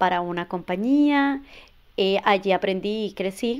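In a very clean recording with a silent background, a woman speaks very slowly at a medium pitch with ordinary pitch variation. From Venezuela, border state near Colombia. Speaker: immigration and tax services business owner. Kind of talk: interview.

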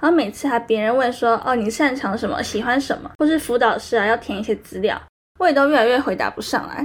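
Speaking at a fairly quick pace, a woman uses a high voice with ordinary pitch variation. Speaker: solo podcast host, university student. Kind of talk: personal monologue. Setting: recording studio. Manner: rising sentence endings.

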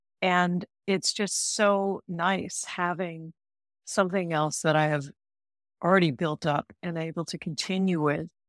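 A woman speaks in a normal speaking voice, fairly low in pitch for a woman, with fairly even intonation at a fairly slow pace. The sound is dry and close with no echo, and the recording is very clean over a silent background. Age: 60s. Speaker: coach and doula. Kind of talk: casual interview chat.

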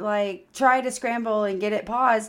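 A woman talks at a moderate pace. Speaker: podcast host, mother. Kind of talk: casual chat. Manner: joking, rambling.

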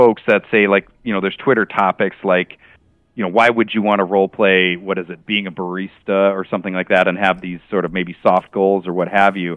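A man with a fairly low pitch talks at a moderate pace. He has an ordinary speaking voice. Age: 50s. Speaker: tabletop game master. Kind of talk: casual interview.

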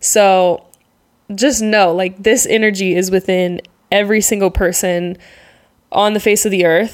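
Here, a woman has an ordinary speaking voice at medium pitch with fairly even intonation. The recording is very clean, with a silent background. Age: 20s. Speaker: podcast host and travel content creator. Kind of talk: solo podcast monologue. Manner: casual, laughing often.

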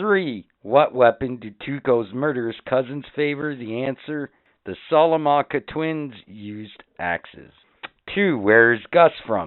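Speaking fairly slowly, a man with a medium pitch uses lively intonation and big swings in loudness. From Canada. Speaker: podcast host. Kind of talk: trivia quiz; casual chat. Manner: animated.

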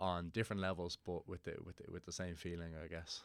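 A man with a Dublin accent speaks at a fairly quick clip in a very deep, low voice, his intonation flat and monotone, on a very clean recording with a silent background. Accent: Dublin Irish. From Ireland, Dublin (Portmarnock). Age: 20s. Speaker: Gaelic football player. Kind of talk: interview.

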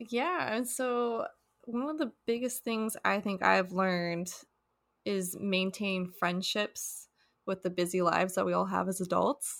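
This woman has a plain, everyday voice at medium pitch with ordinary pitch variation. She talks at a fairly slow pace in a very clean recording with a silent background. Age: 20s. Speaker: podcast co-host. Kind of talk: casual chat.

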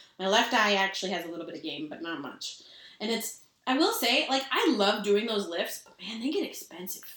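Fairly quick and fairly high-pitched, a woman talks in an animated tone with lively intonation and big swings in loudness. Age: 30s. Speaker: podcast co-host. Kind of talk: casual chat. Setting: evening, drinking cocktails. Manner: animated, chatty.

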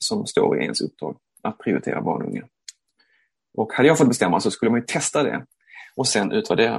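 A man's fairly quick speech with vocal fry and very wide pitch swings. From Sweden, Malmö. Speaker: theatre director. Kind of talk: interview. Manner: hesitant, repeats words.

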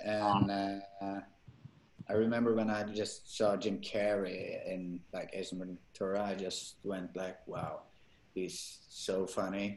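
At a very slow pace, a man speaks with a Norwegian accent. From Norway. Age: 30s. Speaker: actor. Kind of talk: interview. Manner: halting.

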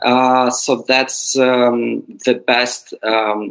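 Dry and close, the man's voice carries no echo. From Ukraine, Odessa. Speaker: NGO managing director. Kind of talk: interview. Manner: halting.

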